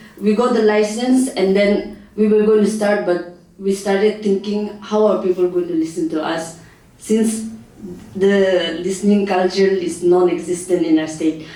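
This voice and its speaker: Noticeable background noise sits behind speech delivered at a moderate rate. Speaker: community radio station manager. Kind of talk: workshop presentation. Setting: workshop hall with audience, microphone. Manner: halting, many fillers.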